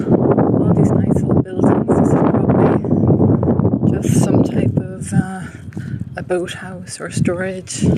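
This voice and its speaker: A woman's medium-pitched voice at a very slow pace with fairly even intonation, amid audible room echo and noticeable background noise. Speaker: walking tour vlogger. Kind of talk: live-streamed walking tour commentary. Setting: outdoors, walking. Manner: lowered, quieter voice.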